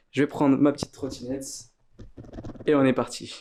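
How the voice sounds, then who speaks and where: A man speaks with a dark, mellow tone at a medium pitch. His pace is moderate. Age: 20s. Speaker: poker vlogger. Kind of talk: vlog narration. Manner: casual.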